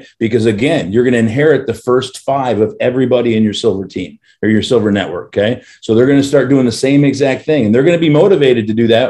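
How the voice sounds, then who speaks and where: A man talks very fast at a medium pitch, with ordinary pitch variation and a dark, mellow tone. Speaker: company CEO presenting to members. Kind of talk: business presentation.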